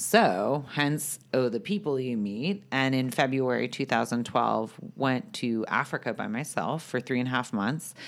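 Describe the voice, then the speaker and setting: A woman speaks with a very deep, low pitch and vocal fry, her intonation lively. She goes at a fairly slow pace with hardly any pauses. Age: 30s. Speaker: content creator and company founder. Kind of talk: interview. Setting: podcast recording.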